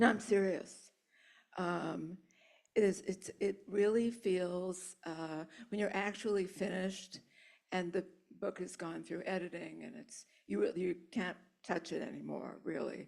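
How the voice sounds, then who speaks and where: Vocal fry marks a woman's medium-pitched voice as she speaks fairly slowly, with big swings in loudness and long, frequent pauses. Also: fairly even intonation. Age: 70s. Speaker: author. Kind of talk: audience Q&A.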